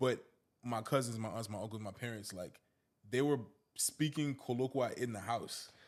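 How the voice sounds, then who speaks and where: The man has an ordinary speaking voice at a medium pitch, keeping a moderate pace and fairly even intonation. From US, Liberian immigrant household. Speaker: podcast co-host. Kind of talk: casual chat.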